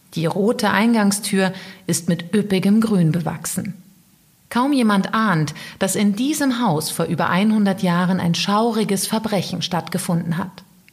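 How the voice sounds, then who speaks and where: A woman talks in a serious tone at a fairly slow pace. Her pitch sits in the medium range. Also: ordinary pitch variation, very even loudness. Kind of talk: true-crime narration. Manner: serious, measured storytelling pace; dramatic, suspenseful.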